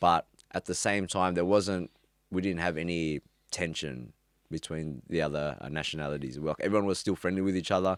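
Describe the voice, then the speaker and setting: Recorded very cleanly against a silent background, with a dry, close sound and no echo, a man with an Australian accent speaks at a fairly quick pace in a very deep, low pitch with ordinary pitch variation. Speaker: former drug dealer. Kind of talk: interview. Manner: casual, hesitant.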